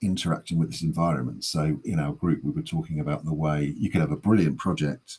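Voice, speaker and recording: A man speaks at a very deep, low pitch with vocal fry. His pitch variation is ordinary. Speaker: public health practitioner presenting at a webinar. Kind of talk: webinar presentation. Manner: fast.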